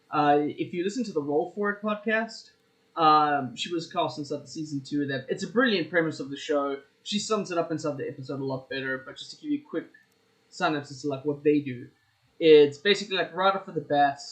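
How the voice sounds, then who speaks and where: A man talks at a fairly quick pace with ordinary pitch variation. His loudness swings a lot. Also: fairly high pitch for a man. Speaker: podcast co-host. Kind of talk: casual chat. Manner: quieter than co-host today.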